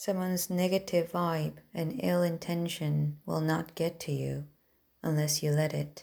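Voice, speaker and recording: A woman talks with a non-native accent. Her pace is fairly slow. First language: not English. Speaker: self-improvement podcaster. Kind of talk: motivational monologue.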